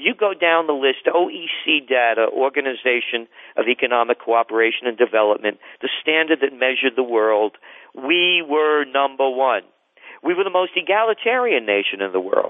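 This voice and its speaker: A man speaks with an American accent at a fairly high pitch. His intonation is lively and his pace moderate. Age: 60s. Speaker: trend forecaster. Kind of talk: radio interview. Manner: animated.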